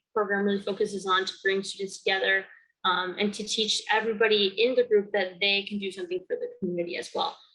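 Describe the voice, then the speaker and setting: Over music in the background, a woman with an American accent talks at a very fast pace. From Connecticut, East Haven. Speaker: student and community organizer. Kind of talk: interview testimony. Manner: hesitant with frequent fillers.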